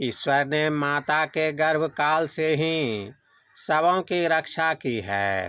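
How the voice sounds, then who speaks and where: In a bright, sharp tone, a man speaks with lively intonation at a fairly high pitch. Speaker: devotional reader of a spiritual discourse. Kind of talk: devotional discourse reading. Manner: measured, sermon-like reading.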